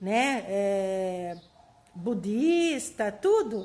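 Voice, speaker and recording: Lively intonation runs through this woman's speech. Her pitch is fairly high. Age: 60s. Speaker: spiritist YouTuber. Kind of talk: casual monologue to camera. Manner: animated; halting.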